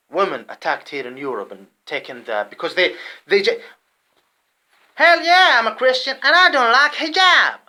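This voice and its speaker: A man with an Arabic accent talks at a moderate pace, his loudness swinging widely. He leaves long, frequent pauses. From Saudi Arabia. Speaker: vlogger. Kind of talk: personal monologue. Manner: halting; agitated.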